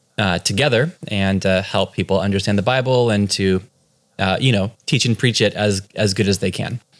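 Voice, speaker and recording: With an American accent and a normal speaking voice, a man talks at a moderate pace in a fairly low pitch, with ordinary pitch variation and very even loudness, on a very clean recording with a silent background. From California. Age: 30s. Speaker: pastor. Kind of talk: casual interview.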